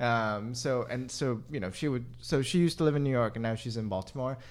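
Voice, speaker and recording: A plain, everyday voice with an American accent. The pace is fairly quick. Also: man. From South Korea, then Boston and New Hampshire from seventh grade. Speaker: restaurant beverage director. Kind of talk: casual chat.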